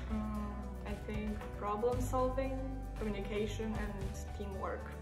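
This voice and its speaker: Clear background music under a woman's fairly slow speech. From Poland. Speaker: youth project participant. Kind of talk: interview answer. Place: home room. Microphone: phone near.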